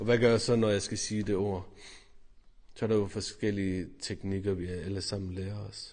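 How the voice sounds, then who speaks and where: Speaking at a moderate pace, a man uses a fairly low pitch and monotone, flat intonation. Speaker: priest. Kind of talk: personal testimony to camera.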